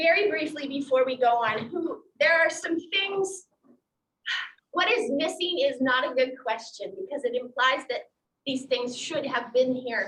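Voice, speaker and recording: Her voice is raised and projected, high-pitched, with lively intonation. The woman speaks at a fairly slow pace. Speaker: pastor. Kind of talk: bible study class. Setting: classroom with zoom participants.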